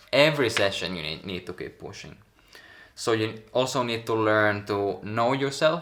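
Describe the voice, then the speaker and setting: A man with a strong Finnish accent at a moderate pace, medium pitch, big swings in loudness and lively intonation. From Finland. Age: 20s. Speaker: pro tricker. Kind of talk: coaching advice talk.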